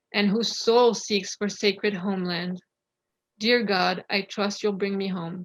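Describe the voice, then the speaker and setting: A woman speaks at medium pitch with a French accent, fairly slowly and in a flat monotone. The sound is dry and close, with no echo. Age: 30s. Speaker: poet. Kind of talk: poetry reading. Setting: video call.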